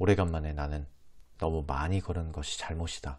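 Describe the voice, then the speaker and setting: At a moderate pace, a man with a very deep, low pitch speaks in a calm, somewhat breathy tone with ordinary pitch variation, on a very clean recording with a silent background. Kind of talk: audiobook reading of a classic novel. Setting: close lapel microphone. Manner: soft-spoken, calm ASMR reading.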